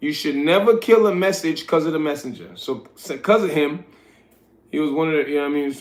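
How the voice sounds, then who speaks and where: In a relaxed tone, a man talks at a fairly quick pace. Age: 40s. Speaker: livestreamer and street interviewer. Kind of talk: casual livestream chat. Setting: live stream at midnight. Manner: relaxed, conversational.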